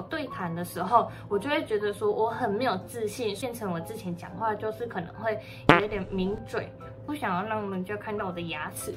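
Ordinary pitch variation over clear music in the background. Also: woman, moderate pace. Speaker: vlogger. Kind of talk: casual vlog chat, Q&A. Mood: cheerful, chatty. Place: home room. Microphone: phone near.

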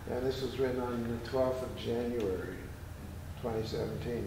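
Noticeable background noise and audible room echo accompany a man as he speaks. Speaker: performance poet. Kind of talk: poetry reading. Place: hall. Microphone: camera far.

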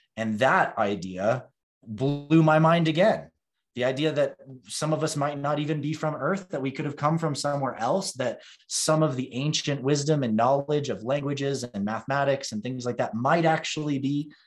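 Ordinary pitch variation from a man, at a moderate speed. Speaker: podcast guest. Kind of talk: interview answer. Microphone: earbuds.

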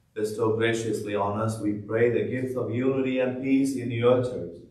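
Audible room echo surrounds a man talking at a moderate pace with fairly even intonation. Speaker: priest celebrating Mass. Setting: church, livestreamed Mass. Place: church.

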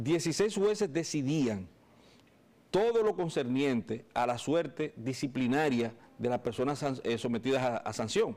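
A man's medium-pitched voice with very wide pitch swings. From Dominican Republic. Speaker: lawyer. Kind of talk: interview. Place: studio. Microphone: lapel.

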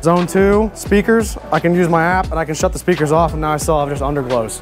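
Clear music plays behind a man with a high pitch. He talks at a fairly quick pace with fairly even intonation. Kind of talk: product walkthrough. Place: garage.

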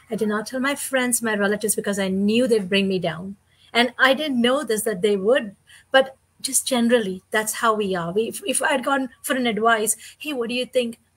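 Against a quiet background, a woman talks at a fairly quick pace. Her voice is somewhat breathy, with ordinary pitch variation. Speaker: online business partner. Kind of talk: casual chat. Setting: live video stream. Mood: earnest, warm. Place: home room.

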